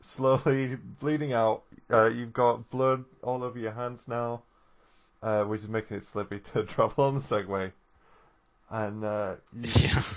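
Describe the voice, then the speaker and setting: A man with a plain, everyday voice speaks at a fairly slow pace, his medium pitch held in fairly even intonation. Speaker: podcast co-host. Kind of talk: casual chat.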